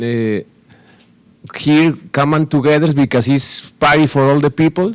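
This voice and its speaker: A man speaks at a moderate pace in a strong Spanish accent. His pitch is fairly high, with ordinary variation. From Mexico. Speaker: retired soccer goalkeeper. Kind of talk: press conference statement. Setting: press conference. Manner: halting in English.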